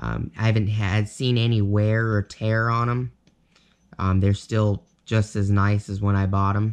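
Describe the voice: This man speaks at a fairly slow pace, his pitch fairly low and his intonation fairly even, with a clear, smooth tone.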